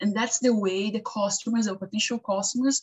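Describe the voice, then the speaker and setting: Somewhat breathy, a woman with a non-native accent speaks at a fairly high pitch. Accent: non-native, noticeable. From Brazil. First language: Portuguese. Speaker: web and graphic designer. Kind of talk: interview advice talk. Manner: halting, with fillers and self-corrections.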